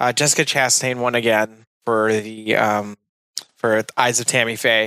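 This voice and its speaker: In a dry, close recording with no echo, a man speaks at a moderate pace in a bright, sharp tone. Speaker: podcast co-host. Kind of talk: casual chat.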